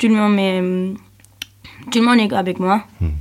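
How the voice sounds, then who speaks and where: Medium pitch and a fairly slow pace from a woman. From Spain, Cáceres (Extremadura). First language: Spanish (speaking French). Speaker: European volunteer. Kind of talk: radio interview. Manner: halting.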